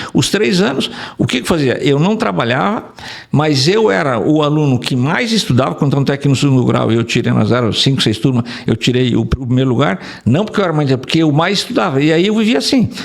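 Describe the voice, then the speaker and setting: A man's fairly high voice with very wide pitch swings and vocal fry. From Rio Grande do Sul, Brazil (Rondinha). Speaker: engineer, urban mobility specialist. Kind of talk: interview. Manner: halting, many repetitions.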